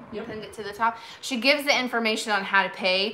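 A woman talks with fairly even intonation over light background noise. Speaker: vintage seller hosting a live sale. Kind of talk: casual live-stream chat. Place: home room. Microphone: phone near.

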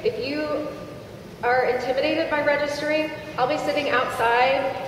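A woman's high-pitched voice carries audible room echo over light background noise. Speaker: charity representative. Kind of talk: announcement. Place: hall. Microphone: pa.

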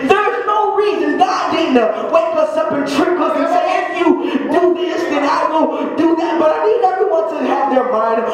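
A man speaks with audible room echo. Crowd noise can be heard in the background. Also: ordinary pitch variation, moderate pace. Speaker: preacher. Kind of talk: sermon. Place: church.

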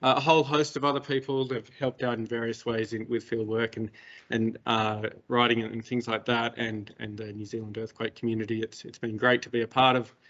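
A man at a moderate pace with monotone, flat intonation. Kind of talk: lecture.

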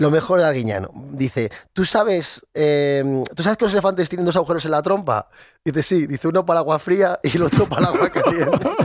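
Over a quiet background, a man with a high pitch speaks at a fairly quick pace with lively intonation, the sound dry with no echo. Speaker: radio co-host. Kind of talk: casual radio chat. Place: studio. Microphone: studio mic.

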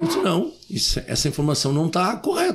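The man talks at a fairly quick pace. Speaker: mayor. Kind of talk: interview. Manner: animated. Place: studio. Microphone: studio mic.

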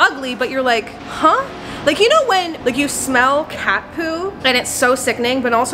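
With music in the background, a woman speaks in a raised, projected voice at a moderate pace with lively intonation. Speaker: comedic vlogger. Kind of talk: casual vlog chat. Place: garage. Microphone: phone near.

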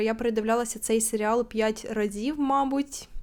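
Her pitch is fairly high, with fairly even intonation at a moderate pace. The recording is very clean, with a silent background. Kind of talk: casual talk to camera.

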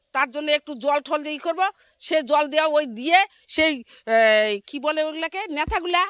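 The sound is dry and close with no echo as a woman speaks in a high pitch with fairly even intonation. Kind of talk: street interview.

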